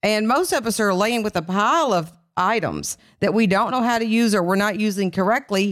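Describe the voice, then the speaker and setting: In an Appalachian accent, the speaker goes at a fairly quick pace with ordinary pitch variation and very even loudness, on a very clean recording with a silent background. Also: woman, fairly high pitch for a woman. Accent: Kentucky Appalachian, noticeable. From Kentucky. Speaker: skincare company founder and CEO. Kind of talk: casual interview chat.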